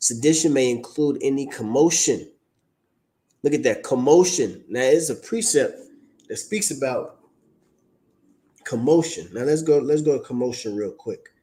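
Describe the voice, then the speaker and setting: Long, frequent pauses break up a man's speech, which otherwise moves at a moderate pace. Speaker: religious teacher. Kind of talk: online teaching stream.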